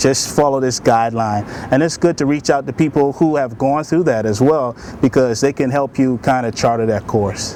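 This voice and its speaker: A man, moving at a moderate pace, uses ordinary pitch variation while noticeable background noise plays. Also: medium pitch for a man. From Bahamas. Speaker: army sergeant and broadcaster. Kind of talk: interview answer.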